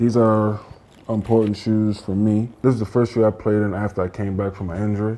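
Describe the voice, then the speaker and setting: Quiet and fairly quick, a man speaks in a fairly low, monotone, flat voice. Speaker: professional basketball player. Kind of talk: casual interview. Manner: quiet, low-key.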